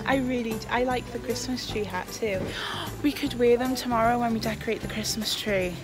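A woman talks at a fairly quick pace. Music is clearly heard in the background. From Wales. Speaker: vlogger. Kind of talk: casual vlog talk to camera. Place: shop. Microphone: phone near.

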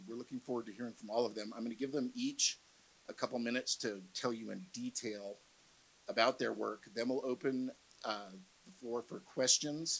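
The man's speech moves at a moderate pace. Its intonation holds fairly even. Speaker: panel moderator. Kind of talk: event introduction to audience. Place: hall. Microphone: handheld.

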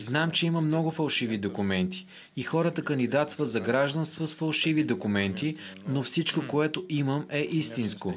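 A man with a fairly high voice and lively intonation talks at a moderate pace over light background noise. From Russia. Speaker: ski instructor. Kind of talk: interview soundbite. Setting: on location. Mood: calm, slightly frustrated. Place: home room. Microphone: handheld.

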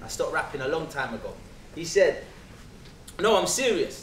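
Audible room echo and light background noise surround the recording. A man with a London accent talks at a moderate pace. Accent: London English, multicultural London. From England, south London. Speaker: spoken word performer. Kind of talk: testimony. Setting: stage with audience. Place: hall.

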